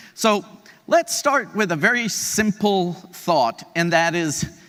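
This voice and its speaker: A man speaks loudly with an energetic, bright, sharp tone. His pitch moves in very wide swings. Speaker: keynote speaker, CEO of an aging organization. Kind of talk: conference keynote talk. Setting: stage with audience. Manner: energetic, conversational.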